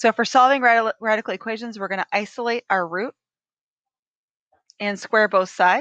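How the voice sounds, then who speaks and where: Using a raspy, put-on character voice at a fairly high pitch, a woman speaks at a moderate pace with ordinary pitch variation and long, frequent pauses, in a dry, close sound with no echo. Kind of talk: teaching, explanatory. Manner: talking really fast, rushed.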